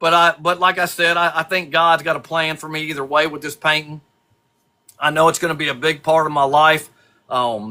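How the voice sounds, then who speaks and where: A man with a fairly high pitch talks at a fairly quick pace in an ordinary speaking voice, his intonation fairly even. The recording is very clean, with a silent background. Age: 60s. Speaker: custom lure painter. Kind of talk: casual chat.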